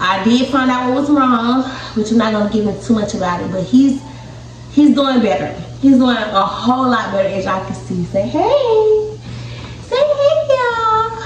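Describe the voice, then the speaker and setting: Light background noise and audible room echo surround the recording. A woman speaks at a moderate pace. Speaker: mother vlogger. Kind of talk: casual vlog chat. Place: home room. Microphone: phone near.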